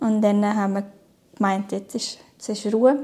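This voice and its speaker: A woman's fairly high voice in a flat, monotone delivery. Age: 30s. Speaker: cancer patient. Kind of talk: personal testimony interview. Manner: hesitant, many fillers.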